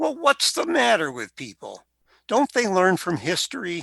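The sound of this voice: A man's put-on character voice, high-pitched with very wide pitch swings, vocal fry and a slightly husky edge, at a fairly slow pace. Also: dry, close sound with no echo.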